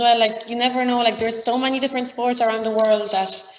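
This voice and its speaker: Monotone, flat intonation from a woman with high pitch, over noticeable background noise. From Poland. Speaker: sports student. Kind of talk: panel discussion.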